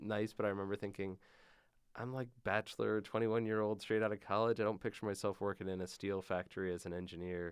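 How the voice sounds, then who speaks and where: With an Upper Midwest accent, a man talks very fast at a fairly low pitch in a flat, monotone delivery. The background is quiet. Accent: Upper Midwest American. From Michigan (Grand Rapids). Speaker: tech startup founder. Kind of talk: interview. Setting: studio.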